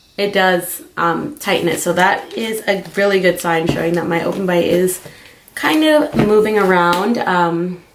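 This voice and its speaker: Over noticeable background noise, a woman talks at a fairly slow pace with a medium pitch and lively intonation. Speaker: beauty and lifestyle vlogger. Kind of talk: casual video diary. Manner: casual, many fillers like um.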